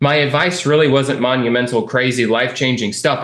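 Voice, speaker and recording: A man with an American accent speaks at a fairly quick pace amid audible room echo. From California. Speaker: real estate investing coach, interview host. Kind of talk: client success interview. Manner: animated.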